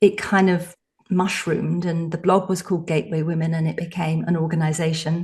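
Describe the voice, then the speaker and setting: Her voice is fairly low for a woman and somewhat breathy, with monotone, flat intonation. She talks at a fairly quick pace against a quiet background. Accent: English. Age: 60s. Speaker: psychotherapist and author. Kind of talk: podcast interview.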